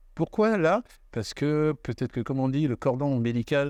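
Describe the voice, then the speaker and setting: Over a quiet background, a man speaks at a moderate pace, his sound dry and close with no echo. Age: 60s. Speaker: actor and dubbing studio owner. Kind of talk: interview. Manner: hesitant, many fillers.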